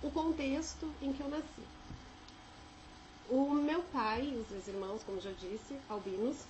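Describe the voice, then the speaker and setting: A woman's high voice, lively in intonation but fairly slow, broken by long, frequent pauses, with audible room echo and noticeable background noise. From Brazil, São José dos Campos (São Paulo state interior). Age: 30s. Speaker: vlogger sharing life experience. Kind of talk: personal testimony. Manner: casual, with filler hesitations.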